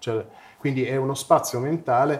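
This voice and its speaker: Somewhat breathy, this man's voice moves at a fairly quick pace. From Italy, Turin. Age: 50s. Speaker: psychedelic research network co-founder. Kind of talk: interview. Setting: live stream. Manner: halting, many repetitions.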